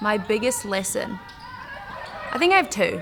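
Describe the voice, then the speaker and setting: Speaking at a moderate pace, a woman talks with a New Zealand accent. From New Zealand, Wellington. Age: 20s. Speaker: professional basketball player. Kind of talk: interview.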